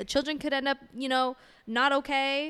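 A woman speaks in a raised, projected voice with a bright, sharp tone. Her pitch is high, and she keeps a moderate pace. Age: 20s. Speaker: podcast co-host. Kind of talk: casual chat.

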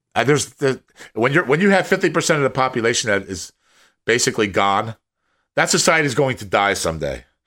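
In a very clean recording with a silent background, a man talks at a very fast pace with a bright, sharp tone and very wide pitch swings. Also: medium pitch for a man. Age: 50s. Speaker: podcast co-host. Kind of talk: casual chat. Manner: halting, repeats words.

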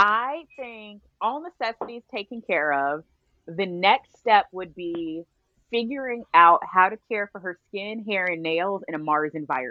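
A woman with an American accent talks at a fairly slow pace, medium pitch and lively intonation, her loudness swinging widely. It is an ordinary speaking voice. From Texas, Arlington. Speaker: realtor and trained chef. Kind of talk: casual chat.

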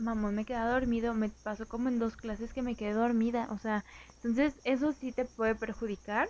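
A woman with a plain, everyday voice and a fairly high pitch is heard on a very clean recording with a silent background. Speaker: podcast co-host. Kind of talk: casual chat.

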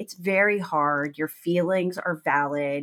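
A woman speaks with a Texan accent at a fairly low pitch and ordinary pitch variation. The recording is very clean, with a silent background. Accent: Texan American. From Texas, small town. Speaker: attorney and podcast host. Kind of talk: solo podcast monologue.

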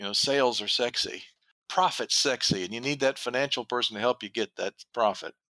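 A man with an American accent speaks at a medium pitch and a fairly quick pace, with ordinary pitch variation. His tone is bright and sharp, and the sound is dry and close with no echo. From US South. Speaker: business consultant, retired door dealer. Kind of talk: interview.

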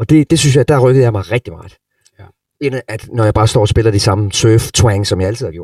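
A man talks at a fairly quick pace with a medium pitch. His voice is somewhat breathy. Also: dry, close sound with no echo. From Denmark, Sønderborg, Southern Jutland. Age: 40s. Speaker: rock guitarist. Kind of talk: masterclass talk to students.

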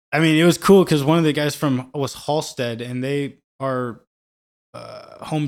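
With a Midwestern US accent, a man speaks at a fairly slow pace. His intonation is fairly even. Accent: US Midwest. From Kansas City, Missouri (Parkville, north of the river). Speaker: musician. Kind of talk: casual chat.

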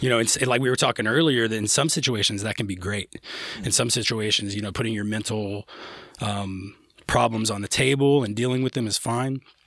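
A man with a medium pitch keeps his intonation fairly even despite noticeable background noise. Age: 30s. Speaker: musician. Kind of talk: casual chat. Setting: studio.

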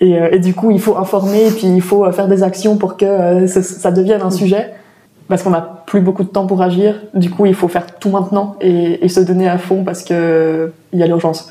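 A woman speaks in a monotone, flat intonation at very even loudness. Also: medium pitch for a woman, moderate pace. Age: 20s. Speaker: climate activist. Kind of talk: interview.

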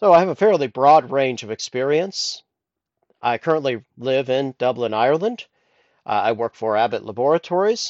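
A man's fairly high voice, moderate in pace, with lively intonation. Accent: Midwestern. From US Midwest, Columbus, Ohio. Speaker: podcast host, IT engineer. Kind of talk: solo podcast monologue. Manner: halting, frequent fillers.

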